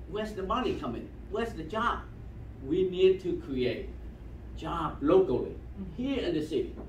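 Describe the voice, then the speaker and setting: A man speaks at a moderate pace with long, frequent pauses, while audible room echo and light background noise surround his voice. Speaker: community member. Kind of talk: remarks at community meeting. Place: meeting room. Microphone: camera far.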